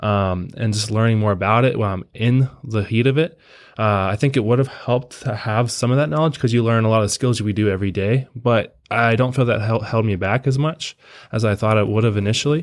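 In a very clean recording with a silent background, a man with an American accent speaks fairly quickly in a normal speaking voice, at medium pitch and with ordinary pitch variation. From Pennsylvania. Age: 20s. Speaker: firefighter recruit. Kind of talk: casual interview.

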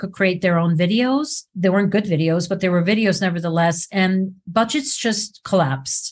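Against a quiet background, a somewhat breathy woman speaks at a moderate pace. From Switzerland. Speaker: video producer. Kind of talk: casual chat.

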